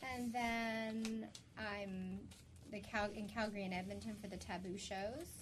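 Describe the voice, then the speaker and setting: Against noticeable background noise, a woman speaks fairly slowly with fairly even intonation. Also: medium pitch for a woman. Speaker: sex therapist guest. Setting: studio. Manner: loud.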